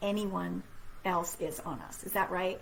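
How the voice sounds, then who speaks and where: With audible echo from the room, a woman speaks at a moderate speed. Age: 60s. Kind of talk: inspirational talk to live online audience.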